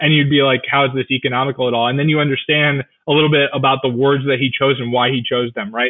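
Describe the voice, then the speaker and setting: Mostly level intonation from a man with a mid-range voice. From US West Coast (Orange County, California). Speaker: journalist. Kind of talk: interview.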